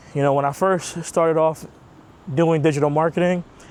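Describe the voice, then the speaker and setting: A man speaks in a New York accent with fairly high pitch and fairly even intonation. His pace is moderate. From New York (Queens). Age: 30s. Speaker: digital marketer, vlogger. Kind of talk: casual rant vlog. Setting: outdoors, walking. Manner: casual, conversational.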